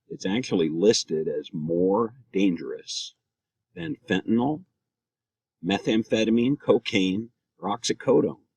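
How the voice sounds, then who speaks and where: A man with an American accent, at a fairly slow pace with long, frequent pauses, in a dry, close sound with no echo. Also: medium pitch for a man. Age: 60s. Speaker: cannabis advocate. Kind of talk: prepared speech. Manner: hesitant, with frequent fillers and self-corrections.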